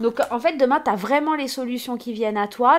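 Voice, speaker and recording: Speaking at a moderate pace, a woman with a high pitch uses lively intonation and an animated tone. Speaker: tarot card reader. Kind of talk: oracle card reading. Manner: loud. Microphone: new microphone.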